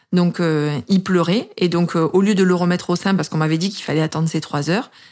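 A woman's fairly low-pitched voice, a normal speaking voice with ordinary pitch variation and a fairly quick pace. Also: very clean recording, silent background. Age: 30s. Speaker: mother sharing breastfeeding story. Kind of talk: personal testimony.

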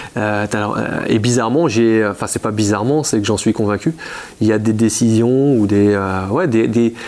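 Fairly slow speech with ordinary pitch variation, very even loudness and noticeable background noise. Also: man, medium pitch for a man. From Champagne, France. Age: 40s. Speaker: insurance agent. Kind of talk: interview. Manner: halting, many repetitions.

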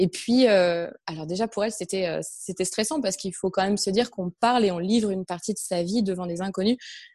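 A woman speaks at medium pitch with a dark, mellow tone and ordinary pitch variation. The background is quiet. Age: 30s. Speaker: entrepreneur, personal development coach. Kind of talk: interview.

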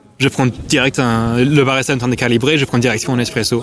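A man speaks at a moderate pace in a medium pitch, his intonation flat and monotone, with noticeable background noise. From England. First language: English (speaking French). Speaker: coffee shop owner. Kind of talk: interview. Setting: wine fair.

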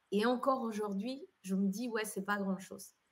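A fairly slow, somewhat breathy woman's voice in a Spanish accent, medium in pitch with ordinary pitch variation. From Colombia. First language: Spanish (speaking French). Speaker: entrepreneur and event organizer. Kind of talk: interview.

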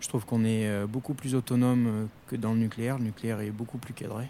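The voice has a dark, mellow tone and moves at a fairly quick pace with a monotone, flat intonation. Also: man. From Corrèze area, central France. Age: 20s. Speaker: plant technician. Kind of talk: interview.

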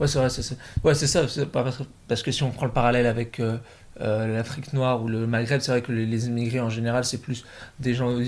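A man is speaking here. His intonation is monotone and flat. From northern France, Picardy (Oise). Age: 20s. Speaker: business student. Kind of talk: casual chat. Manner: halting.

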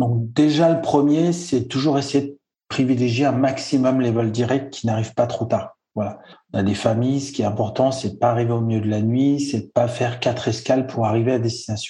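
A man speaks at a fairly quick pace with fairly even intonation. His dark, mellow tone is somewhat breathy. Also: medium pitch for a man. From French Alps. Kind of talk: interview.

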